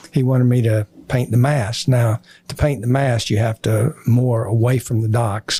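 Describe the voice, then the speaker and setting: In a dry, close sound with no echo, a man with a medium pitch speaks in a monotone, flat intonation, his tone dark and mellow and somewhat breathy. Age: 80s+. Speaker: retired business executive and Navy veteran. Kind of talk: interview storytelling. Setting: podcast studio. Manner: halting, many fillers.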